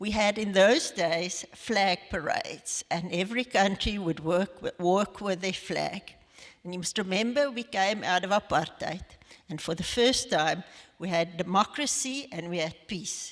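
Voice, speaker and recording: In a South African accent, a woman speaks fairly slowly at medium pitch with ordinary pitch variation. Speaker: lawyer, head of legal ministry network. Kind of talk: interview in church service. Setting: church evening service.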